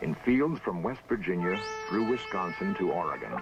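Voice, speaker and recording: A man speaks in a calm tone while music plays in the background. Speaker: TV documentary host. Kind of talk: documentary narration. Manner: calm, thoughtful.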